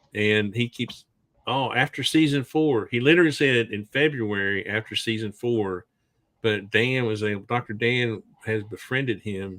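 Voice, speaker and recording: This man has an American accent and a medium pitch, with ordinary pitch variation. He speaks at a moderate pace in a normal speaking voice. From US Southwest, Arizona. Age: 60s. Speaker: podcast host. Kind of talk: casual chat.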